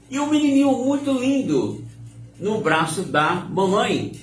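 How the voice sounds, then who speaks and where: The voice belongs to a man. Room reverberation can be heard around it. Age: 70s. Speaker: religious live-stream host. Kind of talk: informal preaching talk on a live stream. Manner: animated.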